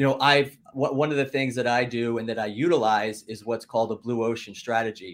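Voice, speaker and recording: This man has a plain, everyday voice with an American accent, talking at a fairly quick pace with hardly any pauses, a medium pitch and fairly even intonation. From Philadelphia / South Jersey. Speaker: entrepreneur and podcaster. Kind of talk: casual chat.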